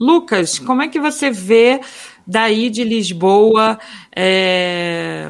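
With a Rio de Janeiro accent, a woman speaks using lively intonation. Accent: carioca (Rio de Janeiro). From Minas Gerais, Brazil. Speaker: podcast co-host. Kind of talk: morning news chat show.

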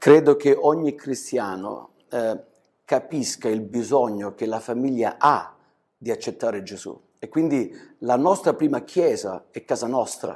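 An unremarkable speaking voice moves at a fairly slow pace. Its loudness swings widely. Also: man, medium pitch for a man, lively intonation. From southern Italy, Calabria (Crotone); later Germany. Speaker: pastor. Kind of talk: interview testimony. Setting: studio.

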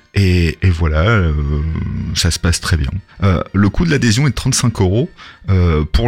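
Talking fairly slowly, a man has a very deep, low voice whose pitch varies in an ordinary way. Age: 40s. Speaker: association president and volunteer firefighter. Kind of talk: radio interview. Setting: radio studio. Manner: hesitant, frequent fillers.

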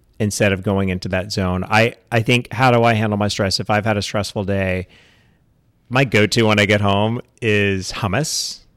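On a very clean recording with a silent background, a man with an American accent and an ordinary speaking voice talks at a moderate pace, his fairly low pitch carrying fairly even intonation. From East Texas. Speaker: podcast co-guest. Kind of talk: casual chat.

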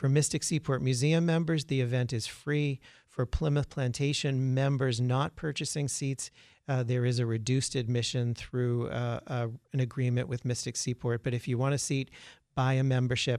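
A man talks in a plain, everyday voice at a medium pitch and a moderate pace, with fairly even intonation. His loudness is very even, and the recording is very clean with a silent background. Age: 50s. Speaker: museum representative. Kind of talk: radio interview.

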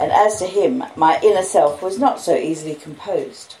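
Lively intonation marks this woman's medium-pitched voice. She speaks in an Australian accent. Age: 50s. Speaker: audiobook reader. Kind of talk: reading aloud.

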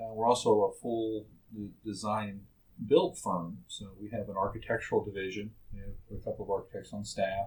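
Somewhat breathy speech with a Texan accent moves at a moderate pace. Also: man. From Texas Panhandle (Amarillo). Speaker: medical construction contractor. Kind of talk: casual interview. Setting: studio. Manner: halting with many fillers and repetitions.

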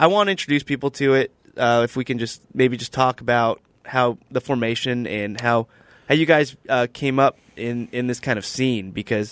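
A man with an unremarkable speaking voice talks at a moderate pace. His pitch is medium, with ordinary pitch variation. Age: 20s. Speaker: podcast host. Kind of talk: casual chat.

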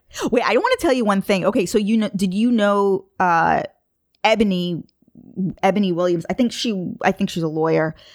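The woman speaks with a New York accent at a medium pitch and a moderate pace. Her loudness is very even, her pitch variation ordinary, and the recording very clean with a silent background. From Long Island, New York. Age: 30s. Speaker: podcast host guest. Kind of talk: casual chat.

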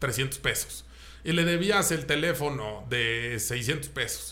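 Fairly high male voice in a Mexican accent, with a bright, sharp tone, vocal fry, ordinary pitch variation and audible room echo. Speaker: car podcast host. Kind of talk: casual chat.

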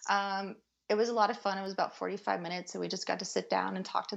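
This woman's voice sits at a medium pitch and carries vocal fry. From Kentucky. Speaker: cosplayer. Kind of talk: casual chat. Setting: podcast recording.

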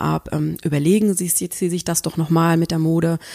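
With a fairly low pitch and monotone, flat intonation, a woman speaks at a moderate pace in a dry, close sound with no echo. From southern Germany, Swabia near Tübingen. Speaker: PR consultant and activist. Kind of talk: interview.

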